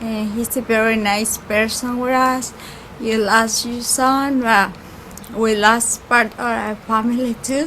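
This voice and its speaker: Speech in a Spanish accent comes at a very slow pace with monotone, flat intonation. Noticeable background noise runs underneath. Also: woman, fairly high pitch for a woman. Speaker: caterer's worker. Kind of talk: memorial tribute.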